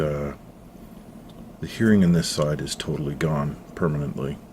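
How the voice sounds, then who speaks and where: Soft-spoken, a man with a very deep, low voice talks through audible room echo and noticeable background noise. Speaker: YouTuber, former sonar operator. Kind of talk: personal vlog about health. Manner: hesitant, many fillers.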